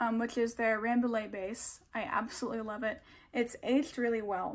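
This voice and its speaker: A woman talks at a moderate pace over a quiet background. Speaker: knitting podcaster. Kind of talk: casual vlog chat. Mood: relaxed, friendly. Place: home room. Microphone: phone near.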